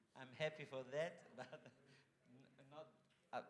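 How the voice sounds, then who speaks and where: A man with an Italian accent at a fairly slow pace, with ordinary pitch variation. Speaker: foundation general manager. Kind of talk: welcome speech. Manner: halting.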